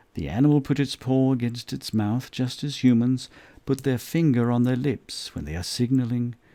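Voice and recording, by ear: The intonation is fairly even. The passage is read aloud in a natural voice.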